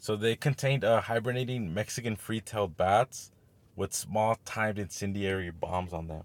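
At a moderate pace, a man with a fairly low pitch and ordinary pitch variation talks in an unremarkable speaking voice, captured in a very clean recording with a silent background. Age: 20s. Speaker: podcast co-host. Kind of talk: casual chat.

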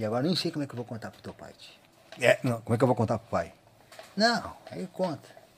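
Delivery is very fast, broken by long, frequent pauses. Loudness swings widely, and the intonation is lively. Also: man, medium pitch for a man. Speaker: accordion player and teacher. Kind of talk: casual interview, storytelling.

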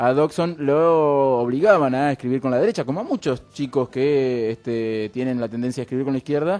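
Over a quiet background, a man with an unremarkable speaking voice talks at a moderate pace with hardly any pauses. His medium pitch shows ordinary variation. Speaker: radio show co-host. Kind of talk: casual chat.

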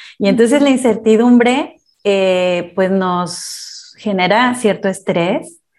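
A woman talks very slowly at a medium pitch, with ordinary pitch variation and very even loudness. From Mexico. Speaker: life coach. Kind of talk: interview. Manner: calm.

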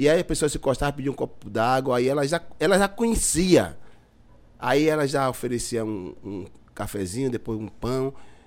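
A man with an unremarkable speaking voice, medium pitch, lively intonation and a moderate pace. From Bahia, Brazil (Lauro de Freitas). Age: 50s. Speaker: community leader. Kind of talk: casual chat.

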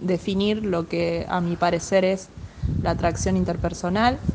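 Amid audible room echo, a woman speaks at a medium pitch with monotone, flat intonation. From Argentina, Ayacucho (Buenos Aires province). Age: 20s. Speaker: PE teacher and lifeguard. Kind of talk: recorded voice message. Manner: halting.

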